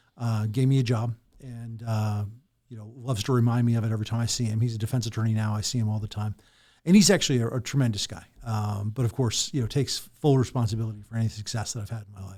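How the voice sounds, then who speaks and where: On a very clean recording with a silent background, a man speaks very fast in a medium pitch and a somewhat breathy voice, with fairly even intonation and big swings in loudness. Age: 50s. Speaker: lawyer and political candidate. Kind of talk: podcast interview.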